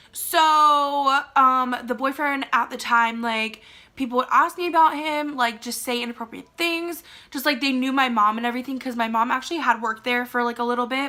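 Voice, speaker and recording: On a very clean recording with a silent background, a woman with an American accent speaks at a moderate pace in a raised, projected voice, high-pitched, bright and sharp, with an animated tone. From Maryland, USA. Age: young. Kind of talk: casual storytime talk to camera. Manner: chatty, animated.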